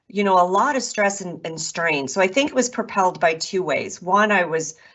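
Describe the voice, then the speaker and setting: A woman at a medium pitch speaks with lively intonation. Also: moderate pace. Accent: Chicago. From US Midwest, Chicago. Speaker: author and podcast host. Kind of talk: interview.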